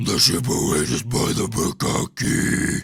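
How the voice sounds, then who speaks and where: A man's put-on character voice, growling, at medium pitch and a fairly slow pace. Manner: grunting, harsh, not projecting.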